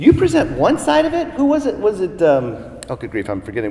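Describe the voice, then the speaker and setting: Amid noticeable background noise and audible room echo, a man with a Southern Californian accent talks at a fairly quick pace. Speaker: professor. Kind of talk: lecture. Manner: animated.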